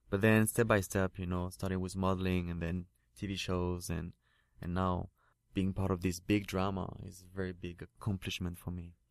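Against a quiet background, a man with a very deep, low voice speaks at a moderate pace in a flat monotone. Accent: French. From France. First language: French. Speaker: actor and model. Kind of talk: interview. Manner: halting.

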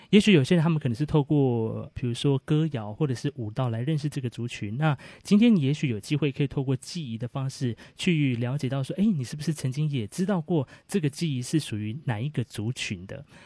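A man's somewhat breathy, dark and mellow voice, fairly high in pitch, with lively intonation at a fairly quick pace, dry and close with no echo against a quiet background. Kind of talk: explanatory talk.

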